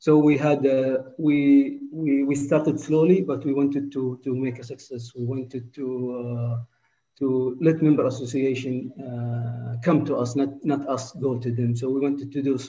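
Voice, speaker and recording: In an Arabic accent, a man delivers his words at a fairly slow pace with a dark, mellow tone and monotone, flat intonation. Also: medium pitch for a man. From Saudi Arabia. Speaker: football development manager. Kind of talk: interview. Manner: halting, frequent repetitions.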